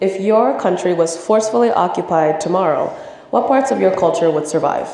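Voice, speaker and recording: Recorded with noticeable background noise and audible room echo, a woman with an American accent speaks at a fairly quick pace. Her pitch is fairly low, her intonation lively, and her loudness very even. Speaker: student presenter. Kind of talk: presentation.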